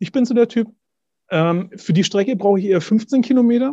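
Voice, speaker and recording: Dark, mellow tone at a moderate pace, ordinary pitch variation, and a quiet background. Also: man. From Middle Franconia, Bavaria. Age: 40s. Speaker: pilgrim and cancer survivor. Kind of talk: interview.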